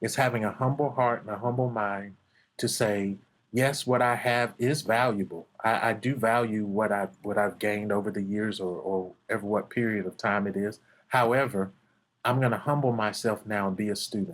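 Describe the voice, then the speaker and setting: At a moderate pace, a man with a plain, everyday voice speaks at fairly low pitch with fairly even intonation, in a very clean recording with a silent background. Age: 50s. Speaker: martial arts instructor. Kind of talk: podcast interview.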